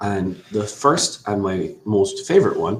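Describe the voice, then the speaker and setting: A man speaks with an Irish accent. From Ireland. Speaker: immigration lawyer. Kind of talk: webinar presentation. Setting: online webinar.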